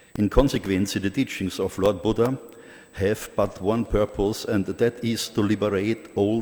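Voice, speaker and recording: A man's dark, mellow voice in a strong Austrian accent, with fairly even intonation. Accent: heavy Austrian. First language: German. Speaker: Buddhist organization president, conference speaker. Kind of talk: conference speech. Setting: conference hall. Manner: formal.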